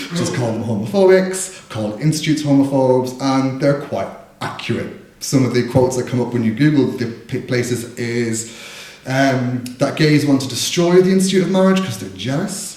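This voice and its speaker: In a Dublin accent, a man talks at a moderate pace and medium pitch with lively intonation. Noticeable background noise and audible room echo come through. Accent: Dublin Irish. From Ireland, Dublin. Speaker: spoken word poet. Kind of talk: casual stage introduction; poetry performance.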